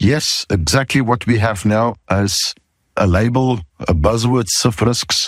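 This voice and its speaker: At a very slow pace, a man speaks with very even loudness in a dry, close sound with no echo. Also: medium pitch for a man, ordinary pitch variation. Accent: South African. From South Africa. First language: not English (English is third language). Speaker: podcast host, safety consultant. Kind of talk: podcast monologue.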